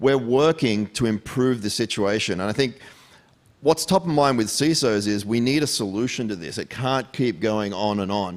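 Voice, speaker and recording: A man talks with an Australian accent at a moderate pace. His pitch is medium and his intonation lively. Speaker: tech security executive. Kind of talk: fireside chat.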